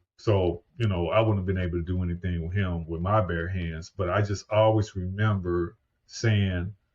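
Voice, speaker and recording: With an American accent, a man speaks at a moderate pace in a very deep, low pitch with monotone, flat intonation. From US Midwest (St. Louis, Missouri). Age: 50s. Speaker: podcast host and paramedic. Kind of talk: podcast interview. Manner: conversational.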